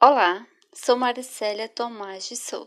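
A woman at a fairly slow pace. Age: 20s. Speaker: schoolteacher. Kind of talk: scripted narration.

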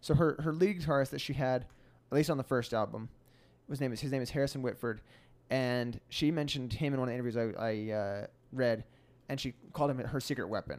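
In a very clean recording with a silent background, a man with a plain, everyday voice speaks at a fairly quick pace, his medium pitch showing ordinary variation. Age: 20s. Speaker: musician and podcast co-host. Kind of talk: casual chat.

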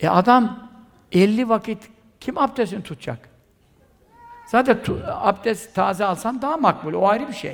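Pausing long and often, a man talks at a fairly slow pace with a high pitch and ordinary pitch variation. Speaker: Sufi preacher. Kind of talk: sermon.

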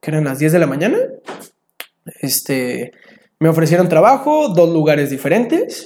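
The speaker has an unremarkable speaking voice. The pace is moderate. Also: man. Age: 20s. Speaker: traveler and photographer. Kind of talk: casual interview chat.

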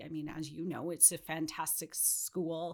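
A woman's fairly low voice with a Western Canadian accent at a fairly quick pace, in a very clean recording with a silent background. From British Columbia, Canada. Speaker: non-profit fundraising director. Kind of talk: casual interview.

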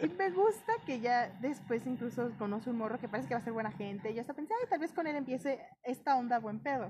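A woman's high voice in a Mexican accent, very fast with hardly any pauses and lively intonation, over noticeable background noise. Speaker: podcast co-host. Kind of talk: casual chat.

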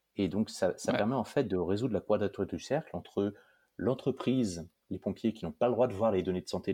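Man's fairly low, dark and mellow voice at a moderate pace, with a quiet background. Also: dry, close sound with no echo. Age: 40s. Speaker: startup co-founder. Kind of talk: interview.

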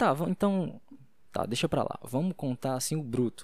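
The man's pitch sits fairly high. His intonation moves in a lively way. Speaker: podcaster. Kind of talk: casual solo monologue on faith. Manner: fast; halting.

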